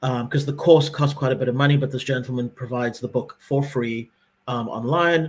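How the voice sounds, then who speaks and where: Somewhat breathy, a man speaks at a fairly quick pace in a medium pitch with fairly even intonation. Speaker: podcast co-host. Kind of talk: casual chat. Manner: fast.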